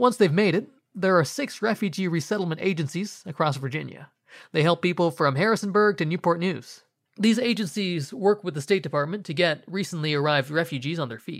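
Fairly quick speech fills a very clean recording with a silent background. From US, child of Indian immigrants. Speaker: podcast host. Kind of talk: interview and scripted narration.

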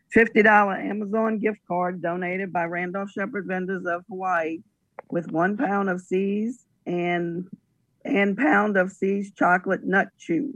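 A woman's plain, everyday voice at a medium pitch, with ordinary pitch variation and a fairly slow pace. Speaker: auction item reader. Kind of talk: reading aloud item descriptions.

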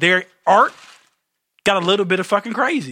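Bright and sharp in tone, the raised, projected voice moves at a fairly quick pace. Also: man. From Detroit, US. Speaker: real estate investor and entertainer. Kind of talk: casual chat.

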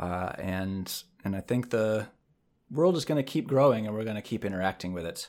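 A man with an ordinary speaking voice talks at a moderate pace, using a fairly low pitch and lively intonation. The recording is very clean, with a silent background. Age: 30s. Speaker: podcast co-host. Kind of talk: casual chat.

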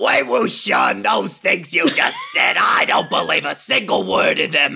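Someone shouts in a put-on character voice at a fairly slow pace. Faint music plays in the background. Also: man. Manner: pissed off, forced out.

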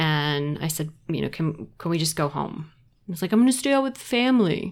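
In an American accent, a woman talks at a fairly quick pace with a very deep, low pitch, captured in a very clean recording with a silent background. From South Carolina. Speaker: Navy veteran and improviser. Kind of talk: casual interview.

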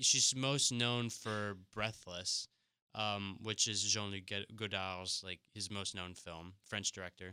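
Very slowly, a man speaks in a fairly low voice with a bright, sharp tone and fairly even intonation. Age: 20s. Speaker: podcast co-host, film reviewer. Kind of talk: casual chat. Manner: relaxed, joking.

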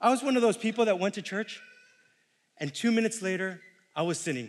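This man talks at a fairly quick pace. He has an American accent. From New York City. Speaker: lay preacher. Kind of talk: sermon. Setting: church.

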